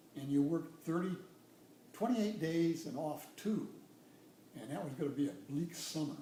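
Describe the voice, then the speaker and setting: A man's fairly high voice at a moderate pace, with lively intonation and audible room echo. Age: 70s. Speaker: retired nuclear engineer. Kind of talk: casual interview. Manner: hesitant, many fillers.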